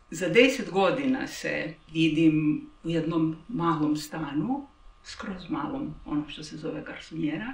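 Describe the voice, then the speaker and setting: Fairly slow and with very wide pitch swings, a woman speaks with big swings in loudness. Audible room echo and noticeable background noise fill the recording. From Croatia. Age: 60s. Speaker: interviewee. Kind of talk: personal interview. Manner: reflective, halting.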